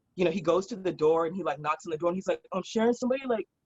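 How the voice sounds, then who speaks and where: Talking at a very fast pace in a Californian accent, a woman has an animated tone, medium pitch, and ordinary pitch variation. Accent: Californian American English. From Southern California (San Fernando Valley). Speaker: drag performer and musician. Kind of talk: casual interview storytelling.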